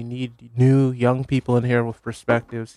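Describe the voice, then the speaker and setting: Speaking at a moderate pace, a man keeps a medium pitch. His delivery is monotone and flat. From Connecticut, Hamden. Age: 20s. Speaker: local political candidate. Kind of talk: radio interview. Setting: radio studio.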